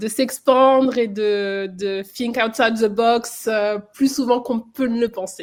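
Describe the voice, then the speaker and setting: A woman with a fairly high pitch speaks at a very slow pace with hardly any pauses and fairly even intonation. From France. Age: 30s. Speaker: flight nurse. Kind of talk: interview testimony.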